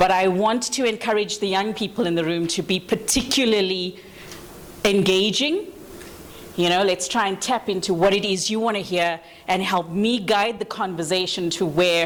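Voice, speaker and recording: A woman speaks at a medium pitch and moderate pace with fairly even intonation. Noticeable background noise runs underneath. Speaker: panel facilitator. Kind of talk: panel discussion moderation. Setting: conference room with audience. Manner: loud.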